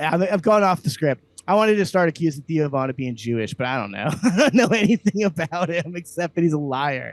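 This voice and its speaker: With an American accent, a man talks very fast with hardly any pauses, his fairly high voice animated and his intonation lively, in a dry, close sound with no echo. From US South, Slidell, Louisiana. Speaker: comedian, podcast co-host. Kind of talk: comedic rant in casual chat. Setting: video call.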